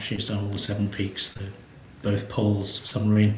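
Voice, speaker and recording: Over noticeable background noise and audible room echo, a man talks with a British accent. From Britain. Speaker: space agency executive. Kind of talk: interview. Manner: hesitant, many fillers.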